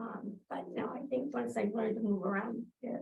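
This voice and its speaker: A woman talks at a moderate pace in a plain, everyday voice with a fairly high pitch. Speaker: county HR staff presenting to commissioners. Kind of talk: public meeting report. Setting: county courtroom meeting with Zoom.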